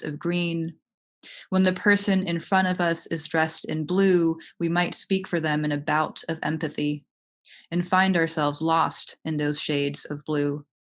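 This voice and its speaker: In an American accent, a woman with an unremarkable speaking voice talks at a moderate pace, her fairly low pitch carrying fairly even intonation over a quiet background. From United States. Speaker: writer. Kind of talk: poetry reading. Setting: online video event.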